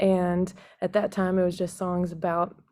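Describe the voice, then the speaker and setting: A woman with an American accent speaks at a medium pitch, with a dark, mellow tone and monotone, flat intonation. The recording is very clean, with a silent background. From Texas. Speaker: singer-songwriter. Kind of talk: podcast interview.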